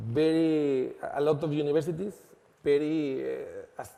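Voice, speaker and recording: A man with a Spanish accent has a dark, mellow tone and fairly high pitch. His pitch varies in an ordinary way, with audible room echo. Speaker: lawyer and law firm founder. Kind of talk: conference presentation. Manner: halting.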